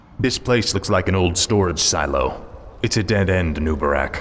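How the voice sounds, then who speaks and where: A put-on character voice from a man, very deep and low, at a moderate pace with light background noise. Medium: video game.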